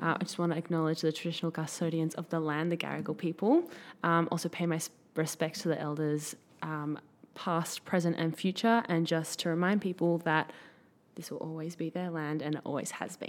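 Flat and monotone, a woman talks at a fairly quick pace in a fairly low pitch. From Sydney, Australia. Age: 20s. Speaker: personal trainer and former model. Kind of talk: casual interview chat.

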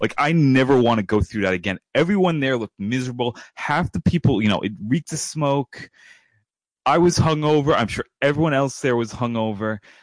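A normal speaking voice with an American accent, lively intonation and a moderate pace, dry and close with no echo, over a quiet background. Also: man. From New York. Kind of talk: casual chat.

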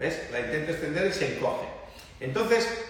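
A man speaks at a moderate pace with ordinary pitch variation. There is audible room echo and noticeable background noise. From northern Italy. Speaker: pizza dough business owner. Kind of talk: livestream cooking demonstration; casual chat.

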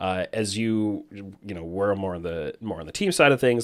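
A man's fairly low voice with a Canadian accent, on a very clean recording with a silent background. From Canada. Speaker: esports podcast host and analyst. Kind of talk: casual interview.

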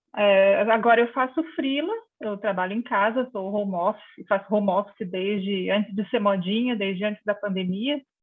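Hardly any pauses break this woman's moderate pace. She has a normal speaking voice at a medium pitch with ordinary pitch variation. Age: 50s. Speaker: journalist. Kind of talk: interview.

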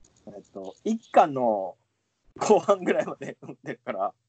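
Speaking very slowly, a man with a fairly high voice lets his pitch swing very widely. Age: 30s. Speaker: podcast co-host. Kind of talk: casual chat. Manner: laughs often.

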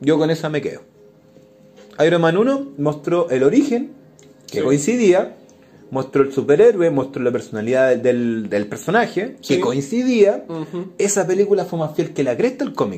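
A man's fairly high voice with very wide pitch swings at a moderate pace. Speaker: podcast host. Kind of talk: casual chat.

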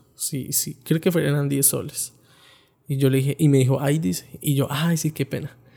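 This man has a fairly high pitch and a dark, mellow tone that is somewhat breathy. He speaks at a moderate pace with a Colombian accent and fairly even intonation. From Colombia, Bogotá. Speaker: podcaster, backpacker. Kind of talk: personal travel storytelling. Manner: casual, conversational.

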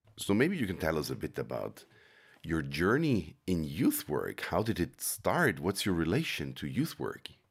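Recorded very cleanly against a silent background, a man with a very deep, low pitch and vocal fry makes very wide pitch swings. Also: moderate pace. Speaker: podcast host. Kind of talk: interview.

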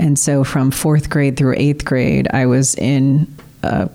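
With a Midwestern US accent, a woman speaks at a very slow pace in a very deep, low pitch. Her intonation is fairly even, and there is noticeable background noise. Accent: US Midwest. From Illinois, Peoria. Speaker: school district communications director. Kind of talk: interview. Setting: studio.

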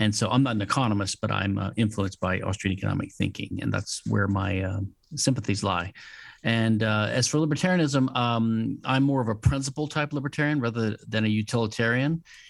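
A man with a medium pitch talks in an American accent. His pace is fairly quick, with ordinary pitch variation. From Louisiana, US South. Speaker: patent attorney and legal theorist. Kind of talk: interview. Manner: halting, frequent fillers and repetitions.

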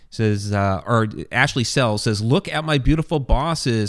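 A man talks in a normal speaking voice. His pace is fairly slow and his intonation lively. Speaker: podcast host and author. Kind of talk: casual interview chat. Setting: online livestream with chat.

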